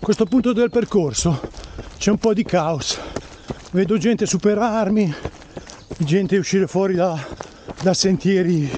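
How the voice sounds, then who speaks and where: Over light background noise, a man with a high pitch and ordinary pitch variation speaks with long, frequent pauses, the sound dry with no echo. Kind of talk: casual vlog chat while running. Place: forest. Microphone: phone near.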